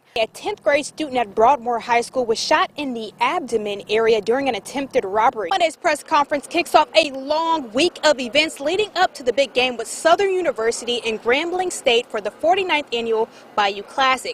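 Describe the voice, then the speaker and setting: A woman's high-pitched voice with an American accent, a fairly quick pace, lively intonation, and hardly any pauses, in a dry, close sound with no echo and noticeable background noise. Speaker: TV news anchor and reporter. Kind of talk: news anchor broadcast delivery.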